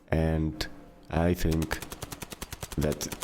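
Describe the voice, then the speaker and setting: This man has a very deep, low voice and a Greek accent. Noticeable background noise runs under the recording. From Greece. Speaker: gaming YouTuber. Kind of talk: casual video commentary. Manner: hesitant, many fillers.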